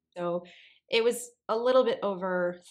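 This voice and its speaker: In a very clean recording with silence behind her, a woman talks with normal pitch movement. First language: Spanish. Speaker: voice actor. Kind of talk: interview.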